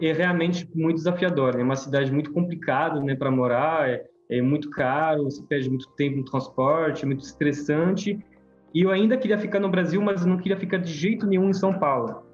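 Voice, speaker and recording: Music sits in the background. The talking runs at a fairly quick pace, with ordinary pitch variation. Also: man. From France. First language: French (speaking Portuguese). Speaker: permaculture course teacher. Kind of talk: online class presentation.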